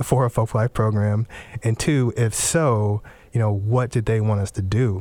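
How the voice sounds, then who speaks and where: A man's unremarkable speaking voice, medium in pitch, fairly slow, with fairly even intonation. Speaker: folklorist, cultural program director. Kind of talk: radio interview.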